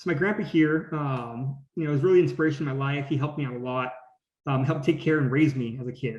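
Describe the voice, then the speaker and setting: This man speaks at a very fast pace in a fairly high pitch. His voice is somewhat breathy, with fairly even intonation. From California (Gilroy). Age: 20s. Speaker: graduate student scientist. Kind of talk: presentation talk. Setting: video call.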